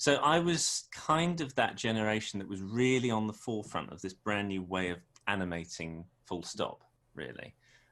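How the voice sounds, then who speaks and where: On a very clean recording with a silent background, a man with a British accent speaks at a moderate pace with lively intonation. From South London, England. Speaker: animator. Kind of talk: interview.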